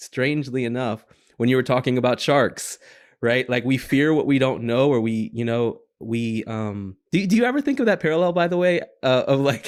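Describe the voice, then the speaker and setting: In a very clean recording with a silent background, a man with an American accent speaks at medium pitch and a moderate pace, with ordinary pitch variation. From North Carolina. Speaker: podcast host. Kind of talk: interview conversation. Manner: halting, repeats and stumbles on words.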